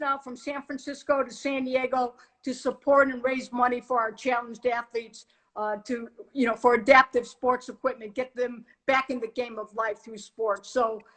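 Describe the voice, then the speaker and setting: A woman's high-pitched voice. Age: 60s. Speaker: retired police chief. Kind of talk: interview. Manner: hesitant, many fillers.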